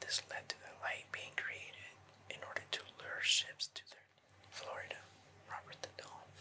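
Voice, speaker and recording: Whispering at a moderate pace, a man leaves long, frequent pauses, his loudness swinging widely over noticeable background noise. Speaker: ASMR creator. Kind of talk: ASMR urban legend storytelling. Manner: whispered; calm.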